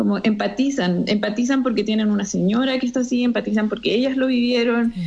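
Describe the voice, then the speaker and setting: Her pace is moderate. The woman's voice sits high in pitch. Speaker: entrepreneur, co-founder. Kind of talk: interview.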